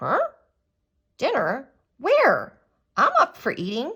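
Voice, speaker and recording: Using a cartoonish character voice, a woman speaks at an extremely high pitch and a fairly slow pace. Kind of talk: children's Bible story telling. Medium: puppet. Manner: upbeat, friendly.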